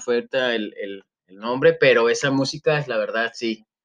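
A man with a Mexican accent talks at a moderate pace and a medium pitch. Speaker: podcast co-host, teacher. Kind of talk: casual chat.

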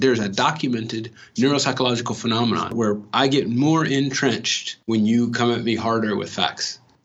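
A man with a normal speaking voice, medium pitch, fairly even intonation and a fairly quick pace, in an American accent. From Los Angeles (Watts). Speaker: educator. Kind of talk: interview.

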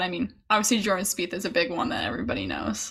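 Against noticeable background noise, a woman talks very fast with ordinary pitch variation. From Chicago. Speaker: podcast host, college golfer. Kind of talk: casual chat.

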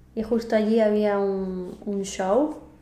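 Through noticeable background noise and audible room echo, a woman talks at a very slow pace. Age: 30s. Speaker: podcast host, Spanish teacher. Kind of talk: casual chat, language-learning conversation.

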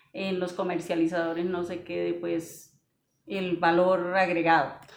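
Audible room echo follows a woman who speaks at a medium pitch and a fairly slow pace. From Vélez, Santander, Colombia. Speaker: coffee shop owner, coffee grower. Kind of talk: casual interview. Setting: coffee shop.

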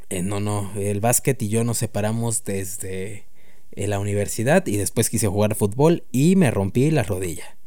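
Very slowly, a man speaks in a fairly low voice with a dark, mellow tone, ordinary pitch variation and a Mexican accent. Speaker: podcast host. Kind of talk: casual chat. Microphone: new microphone.

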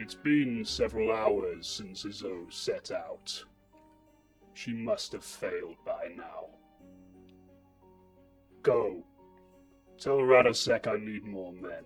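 A man does a put-on character voice at a very slow pace, with long, frequent pauses and big swings in loudness. Faint music plays in the background. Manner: commanding.

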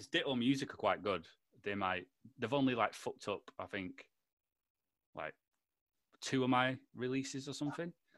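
In a Lancashire accent, a man speaks at a medium pitch with lively intonation and long, frequent pauses. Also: moderate pace, very clean recording, silent background. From Lancashire, northern England. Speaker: podcast host. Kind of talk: casual chat. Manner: animated.

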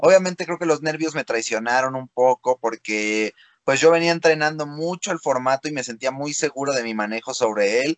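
A man with a normal speaking voice talks at a moderate pace and fairly high pitch, with ordinary pitch variation, in a dry, close sound with no echo over a quiet background. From Mexico. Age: 20s. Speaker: freestyle rapper. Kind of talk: interview. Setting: video call.

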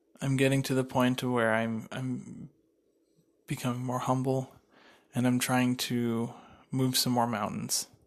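Monotone and flat, a man at medium pitch speaks at a fairly slow pace with long, frequent pauses. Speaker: podcast host and entrepreneur. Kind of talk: solo podcast monologue. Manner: halting, many fillers.

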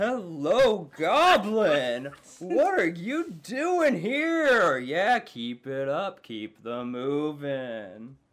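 This put-on character voice sits at a middle pitch and moves at a very slow pace with hardly any pauses. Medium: actual play. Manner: energetic, exclamatory.

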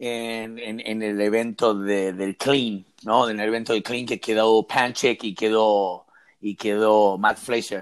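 An unremarkable speaking voice from a man at medium pitch and a fairly slow pace, on a very clean recording with a silent background. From Argentina. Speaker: podcast co-host. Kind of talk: interview.

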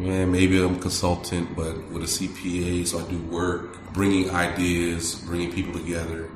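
Over noticeable background noise and audible room echo, a man with a very deep, low pitch talks at a moderate pace in a monotone, flat delivery with hardly any pauses. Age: 40s. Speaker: city manager. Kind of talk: casual interview.

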